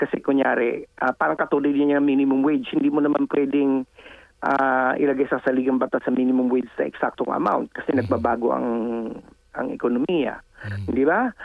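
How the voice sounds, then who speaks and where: Speaking at a fairly quick pace, a man keeps a medium pitch, ordinary pitch variation and very even loudness. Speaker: political analyst and professor. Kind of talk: interview. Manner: halting.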